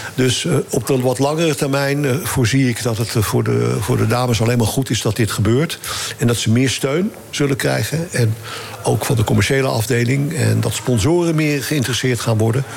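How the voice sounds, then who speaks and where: A man talking at a moderate pace with very even loudness and noticeable background noise. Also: medium pitch for a man, ordinary pitch variation. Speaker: former football association chairman. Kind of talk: casual chat.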